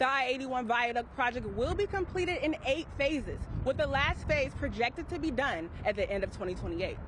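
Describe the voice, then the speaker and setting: A woman at high pitch with lively intonation, a fairly quick pace and hardly any pauses, over noticeable background noise. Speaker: broadcast news reporter. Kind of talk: live shot stand-up from the field.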